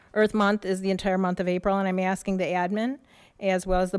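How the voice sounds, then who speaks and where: In a very clean recording with a silent background, a woman with an American accent speaks at a moderate pace and medium pitch, her intonation monotone and flat. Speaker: public commenter, local village trustee. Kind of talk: public comment read from notes. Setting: school board meeting.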